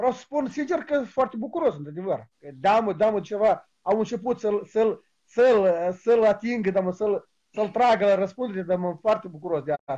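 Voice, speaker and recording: The background stays quiet. A man talks at a moderate pace. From Moldova. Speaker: caller. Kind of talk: casual chat. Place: home room. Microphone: video call.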